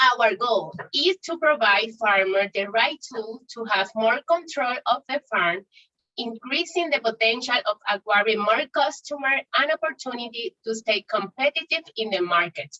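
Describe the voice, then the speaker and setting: Lively intonation at a moderate pace, in a dry, close sound with no echo. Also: woman, fairly high pitch for a woman. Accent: Spanish. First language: Spanish. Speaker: startup founder. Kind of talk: pitch competition Q&A. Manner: halting.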